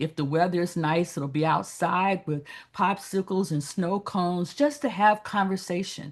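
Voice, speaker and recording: Over a quiet background, a woman speaks in a normal speaking voice with a fairly low pitch, ordinary pitch variation and a moderate pace. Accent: American. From US South, Birmingham, Alabama. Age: 60s. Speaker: pastor and activist. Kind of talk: panel discussion.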